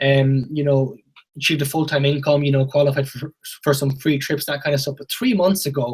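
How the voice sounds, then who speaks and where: A somewhat breathy voice in a western Irish accent, fairly quick, with fairly even intonation. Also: man, fairly high pitch for a man. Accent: Irish (west of Ireland). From Ireland, Galway. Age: 20s. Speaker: network marketing presenter. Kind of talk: sales pitch. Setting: video call.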